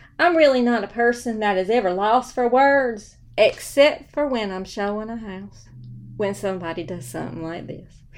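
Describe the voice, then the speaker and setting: A woman speaks at a moderate pace in a Southern US accent, her fairly high voice rising and falling a lot in loudness. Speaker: real estate broker. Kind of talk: casual storytelling monologue. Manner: animated. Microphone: new microphone.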